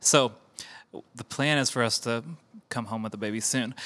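This man has a bright, sharp tone, a medium pitch and a playful tone. The recording is very clean, with a silent background. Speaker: worship pastor. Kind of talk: casual chat. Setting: studio. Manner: joking, playful.

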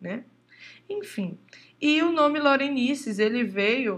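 At a very slow pace, a woman speaks in a somewhat breathy voice with ordinary pitch variation. The background is quiet. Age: 20s. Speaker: podcast host, drummer and music teacher. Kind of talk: casual monologue.

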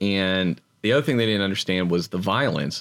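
An unremarkable speaking voice moves at a moderate pace with ordinary pitch variation. The recording is very clean over a silent background, dry and close with no echo. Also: man. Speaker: podcast co-host. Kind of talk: casual chat. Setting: studio.

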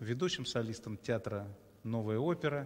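This man's voice has ordinary pitch variation. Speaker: theatre director and interviewer. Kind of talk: live interview chat with friendly banter. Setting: live stream. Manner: talkative, warm, informal, with filler sounds.

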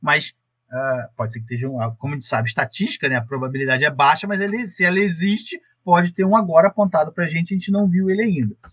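Very fast and lively in intonation, a man speaks at a high pitch. The sound is dry and close, with no echo. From Rio de Janeiro state, Brazil (Paracambi, Baixada Fluminense). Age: 40s. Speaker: astronomy researcher. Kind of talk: casual interview.

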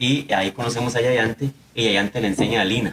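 Noticeable background noise sits under the recording. The man talking keeps his intonation fairly even. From Costa Rica, Limón (Siquirres). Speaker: musician and university researcher. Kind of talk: radio panel discussion.

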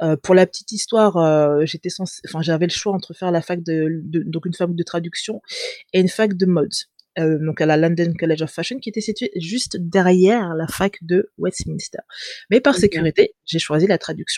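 A woman's fairly low voice at a moderate pace, with ordinary pitch variation and a dry, close sound with no echo. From France. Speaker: fashion brand founder. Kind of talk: interview. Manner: hesitant.

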